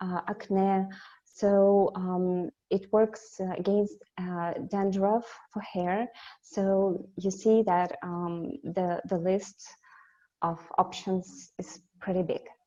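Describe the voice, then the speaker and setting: At a very slow pace, a woman with a Russian accent speaks at a medium pitch in a monotone, flat intonation with a dark, mellow tone. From Russia, Siberia. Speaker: company representative. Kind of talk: webinar presentation. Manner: halting, many fillers.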